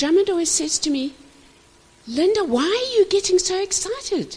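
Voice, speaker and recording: This woman's voice is extremely high-pitched, with lively intonation. She talks at a moderate pace. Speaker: marriage minister. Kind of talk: marriage teaching talk. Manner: animated.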